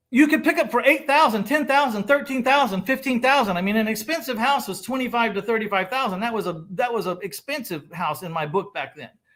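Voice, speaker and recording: A man with an extremely high pitch, an animated tone, a fairly quick pace and hardly any pauses. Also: lively intonation. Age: 60s. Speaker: real estate investor. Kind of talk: casual chat.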